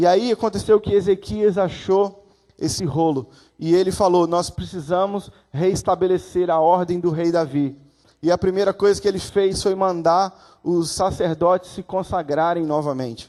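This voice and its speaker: A man's high-pitched, dark, mellow voice with ordinary pitch variation, against a quiet background. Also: moderate pace. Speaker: guest preacher. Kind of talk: sermon. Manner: animated.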